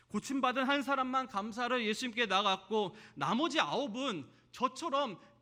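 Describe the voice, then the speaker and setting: A man in a raised, projected voice speaks at a moderate pace with an extremely high pitch and a bright, sharp tone. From South Korea, Jeolla region. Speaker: pastor. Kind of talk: sermon.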